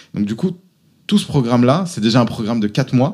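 A man talks with a medium pitch. The intonation is lively. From France, Auvergne. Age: 30s. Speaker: entrepreneur. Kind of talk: interview.

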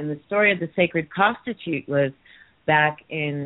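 A woman with an American accent speaks in a very deep, low pitch with ordinary pitch variation. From Massachusetts, Martha's Vineyard. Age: 40s. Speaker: caller. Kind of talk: casual chat. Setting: phone call.

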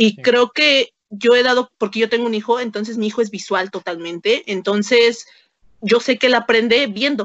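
A woman with a Mexican accent speaks at a moderate pace in a fairly high voice with ordinary pitch variation. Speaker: historian and secondary school teacher. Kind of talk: casual interview.

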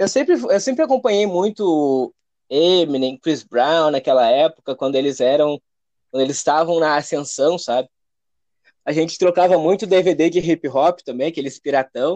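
Recorded with a dry, close sound and no echo, a man with a fairly high pitch and a dark, mellow tone speaks at a moderate pace with ordinary pitch variation. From Rio Grande do Sul, Brazil (Alvorada, Porto Alegre area). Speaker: rapper and music producer. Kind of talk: casual interview.

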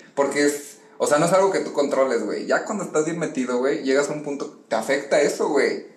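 Amid noticeable background noise, a man with a fairly high pitch speaks at a fairly quick pace with fairly even intonation and hardly any pauses. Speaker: football fan commentator. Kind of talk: casual chat.

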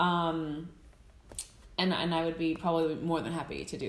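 A woman with an American accent talks in a normal speaking voice. Her pitch is fairly low and her pace moderate. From United States. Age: 20s. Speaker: content creator and photographer living in Iceland. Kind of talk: casual interview chat.

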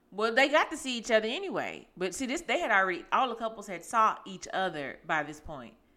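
A woman speaks with a fairly high pitch, very wide pitch swings and big swings in loudness. Her tone is animated and bright, sharp, with vocal fry. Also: fairly quick pace, hardly any pauses. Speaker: podcast host. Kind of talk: casual chat.

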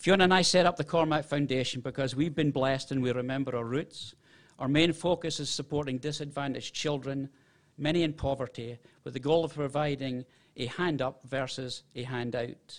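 With an American accent, a man speaks at a fairly high pitch and with fairly even intonation over a quiet background. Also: fairly quick pace. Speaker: football club director. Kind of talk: ceremony speech. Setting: stage with audience.

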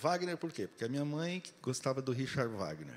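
Using lively intonation, a man talks at a fairly high pitch. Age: 50s. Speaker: guest preacher. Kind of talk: sermon. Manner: animated.

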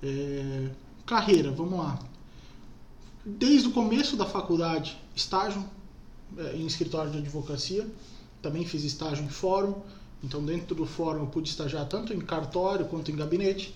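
A man's fairly high voice with ordinary pitch variation, a moderate pace and long, frequent pauses, in audible room echo. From Brazil, Jaraguá do Sul (Santa Catarina). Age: 20s. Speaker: lawyer. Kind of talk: interview. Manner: halting, many fillers.

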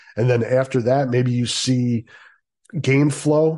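Against a quiet background, a man speaks very slowly at a medium pitch with a dark, mellow tone and monotone, flat intonation. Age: 50s. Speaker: sports podcast host. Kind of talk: casual listener Q&A podcast.

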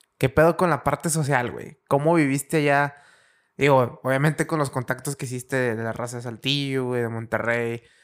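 Very clean and recorded against a silent background, this is a man with a plain, everyday voice. He keeps a moderate pace, a medium pitch and fairly even intonation. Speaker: podcast host. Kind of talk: casual chat.

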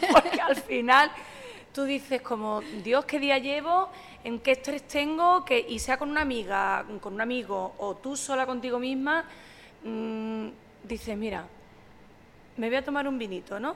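A woman with a high pitch and lively intonation speaks at a fairly slow pace. She leaves long, frequent pauses, and there is noticeable background noise. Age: 40s. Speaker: sommelier and social media communicator. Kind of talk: casual chat.

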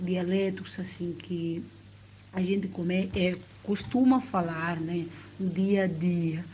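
A woman with a dark, mellow tone sounds somewhat breathy, with audible room echo around her. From Guinea-Bissau. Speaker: Portuguese learner sending an audio message. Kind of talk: recorded voice message. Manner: halting, with fillers.

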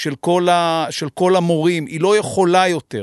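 Against a quiet background, a man with a plain, everyday voice speaks at a fairly slow pace and a fairly high pitch, in a dry, close sound with no echo. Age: 50s. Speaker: podcast host. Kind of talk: interview. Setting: studio.

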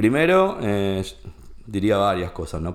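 A man speaks very slowly with a Rioplatense accent, his pitch fairly low. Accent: Argentine Rioplatense Spanish. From Argentina, Junín (Buenos Aires province). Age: 50s. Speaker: entrepreneur and financial educator. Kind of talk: casual interview chat. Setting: his place of business.

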